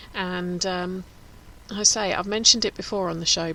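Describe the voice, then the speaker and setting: A woman with a Home Counties accent, bright and sharp in tone, medium in pitch, at a fairly quick pace. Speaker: radio host. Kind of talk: casual chat. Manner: fast.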